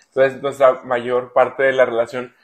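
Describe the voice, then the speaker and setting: A man with a plain, everyday voice speaks at medium pitch and a moderate pace. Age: 30s. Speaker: father, food industry worker. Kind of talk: interview.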